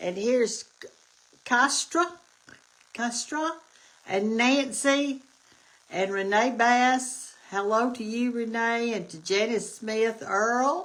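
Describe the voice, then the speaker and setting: Speaking very slowly with long, frequent pauses, a woman with an Alabama accent uses a fairly high pitch and ordinary pitch variation. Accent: Southern US (Alabama). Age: 70s. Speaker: cooking show host. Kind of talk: casual livestream chat. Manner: animated.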